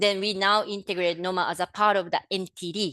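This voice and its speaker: Speaking at a fairly quick pace, a woman with a non-native accent has a medium pitch and fairly even intonation, recorded dry and close with no echo against a quiet background. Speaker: public health official. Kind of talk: webinar presentation. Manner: halting, many fillers.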